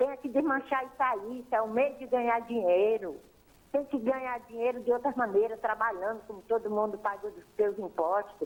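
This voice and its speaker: A woman with a fairly high pitch sounds animated, speaking at a moderate pace with big swings in loudness and ordinary pitch variation. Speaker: caller. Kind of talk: phone-in complaint. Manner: animated, indignant.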